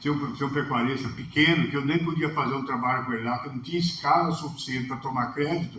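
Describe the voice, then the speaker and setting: A man talks at a very fast pace with hardly any pauses, a fairly high pitch, and fairly even intonation. Noticeable background noise and audible room echo fill the recording. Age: 60s. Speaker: livestock consultant. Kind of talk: talk with Q&A.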